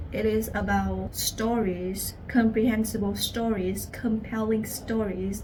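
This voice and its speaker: A woman with a Vietnamese accent, fairly high in pitch, at a very slow pace, with audible room echo. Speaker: language teacher. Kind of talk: personal story.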